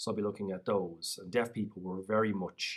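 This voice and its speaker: He talks at a very fast pace with a Dublin accent. His pitch is fairly low. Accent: Irish (Dublin). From Ireland, North County Dublin. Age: 30s. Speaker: PhD student and researcher on deaf history. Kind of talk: vlog voice-over of own signed talk.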